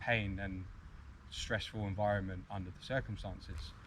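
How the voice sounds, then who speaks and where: A man with a British accent speaks at a moderate pace, somewhat breathy. His intonation is fairly even, with audible room echo. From UK. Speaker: arborist. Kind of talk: conference talk.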